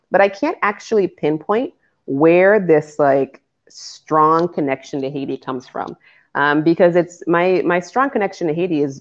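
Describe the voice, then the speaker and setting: Her intonation lively, a woman talks at a moderate pace in a fairly low voice. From Cambridge, Massachusetts (Boston area), US. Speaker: lawyer and entrepreneur. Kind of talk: podcast interview.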